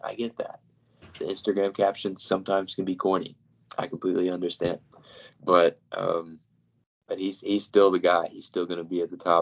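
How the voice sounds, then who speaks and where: Fairly quick delivery with a dry, close sound and no echo. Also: man. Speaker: basketball podcast co-host. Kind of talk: casual chat.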